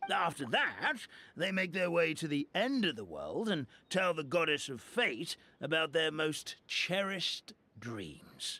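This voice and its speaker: A man puts on a high-pitched, cartoonish character voice. He talks at a fairly slow pace. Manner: rambling, hesitant, stammering.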